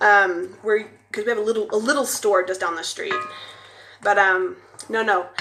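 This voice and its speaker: Someone with an American accent speaks at a fairly quick pace while music plays in the background. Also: woman. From United States. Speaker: cooking vlogger. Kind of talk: casual cooking livestream chat. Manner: animated.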